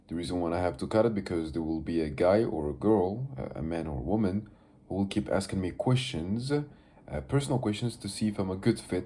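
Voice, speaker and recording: In a Moroccan accent, a man with a fairly low pitch and a dark, mellow tone talks at a fairly quick pace with lively intonation. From Morocco. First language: Moroccan Arabic (Darija). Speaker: vlogger. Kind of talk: casual video diary monologue. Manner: halting, many fillers.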